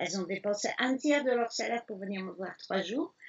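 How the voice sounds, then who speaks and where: Very wide pitch swings from a woman, fairly high-pitched, at a moderate pace. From Belgium, Liège. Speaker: elephant sanctuary founder, former restaurateur. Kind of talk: interview. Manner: hesitant fillers.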